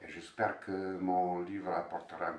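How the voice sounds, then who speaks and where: The speaker talks at a fairly slow pace with a slight non-native accent. There is audible room echo and noticeable background noise. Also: man. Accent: slight foreign accent in French. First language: Bosnian (speaking French). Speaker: novelist. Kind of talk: interview. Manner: halting, with many repeated words.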